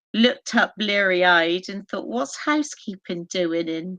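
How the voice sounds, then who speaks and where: The speaker has a Bristolian accent and lively intonation. The pace is moderate. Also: woman. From Bristol, England. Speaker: historian and paranormal investigator. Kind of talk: podcast interview.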